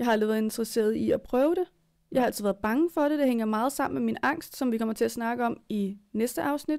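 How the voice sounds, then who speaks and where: A woman talks at a very fast pace in a fairly high voice. Her loudness stays very even over a quiet background. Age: 20s. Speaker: podcast co-host. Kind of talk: casual chat. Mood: earnest, personal. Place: home room. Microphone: studio mic.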